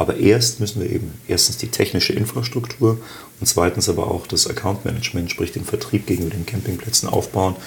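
This man keeps up a fairly quick pace while noticeable background noise plays underneath. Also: fairly low pitch for a man, ordinary pitch variation. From Bavaria, Augsburg (raised on standard German). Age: 50s. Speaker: startup founder. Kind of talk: interview. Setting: office.

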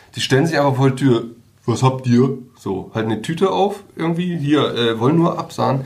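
A man's medium-pitched, somewhat breathy voice at a moderate pace, with lively intonation and audible room echo. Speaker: newspaper journalist and podcast co-host. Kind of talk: casual chat.

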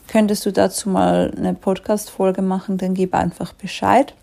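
With a Swiss accent, a woman talks at a moderate pace in a dark, mellow tone. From Switzerland. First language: Swiss German (speaking German). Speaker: life coach. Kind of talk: solo podcast monologue.

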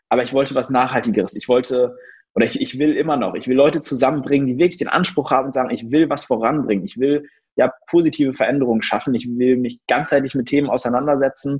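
A man talks very fast at a medium pitch, his intonation fairly even. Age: 20s. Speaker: entrepreneur. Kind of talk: interview.

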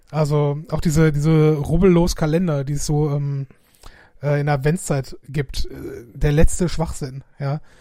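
Fairly slow, somewhat breathy speech with monotone, flat intonation and a dark, mellow tone. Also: man, fairly high pitch for a man. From Essen, Ruhr area, Germany. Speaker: podcast co-host. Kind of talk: casual chat.

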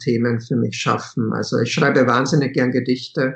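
A man talking at a moderate pace. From Czechia, moved to Austria at seven. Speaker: author and teacher. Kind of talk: interview.

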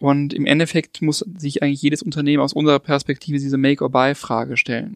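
A man with a normal speaking voice and fairly high pitch, dry and close with no echo, against a quiet background. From Lake Constance region, southern Germany (Ravensburg). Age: 30s. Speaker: digital academy leader. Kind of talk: interview.

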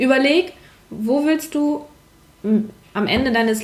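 Noticeable background noise runs through the clip. Over it, a woman speaks with lively intonation. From northern Germany, Hamburg. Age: 20s. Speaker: paramedic. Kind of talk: casual chat. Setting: in a roof-tent travellers' base.

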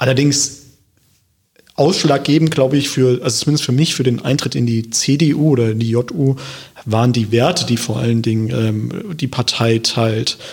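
With very even loudness and a somewhat breathy voice, a man talks at a medium pitch and a moderate pace, with ordinary pitch variation. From Germany, Hesse (Wiesbaden). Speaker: local politician. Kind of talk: podcast interview. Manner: hesitant, many filler sounds.

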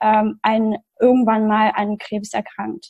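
A woman speaks in a dark, mellow tone. Her pace is very slow. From outside Germany. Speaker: patient sharing her health story. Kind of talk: podcast interview. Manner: halting, many fillers.

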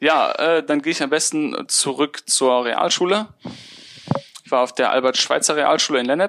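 This man has an ordinary speaking voice, pitched fairly high, and talks at a moderate pace with ordinary pitch variation. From Remscheid, Bergisches Land, Germany. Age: 20s. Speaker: mechanical engineer turned podcaster. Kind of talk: interview.

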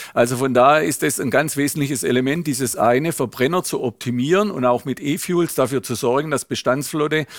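On a very clean recording with a silent background, a man speaks in a plain, everyday voice. His pitch is fairly high, with ordinary variation, at a moderate pace. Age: 60s. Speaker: automotive executive. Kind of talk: interview.

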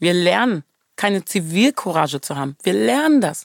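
A woman with a medium pitch speaks at a moderate pace in an animated tone. Her pitch swings very widely, and the sound is dry and close, with no echo. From Germany. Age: 30s. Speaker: choreographer. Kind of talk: interview.

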